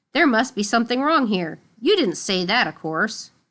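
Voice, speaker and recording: A woman puts on a raspy character voice at a fairly high pitch, with a quiet background. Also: moderate pace. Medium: read story. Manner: dry, sneering.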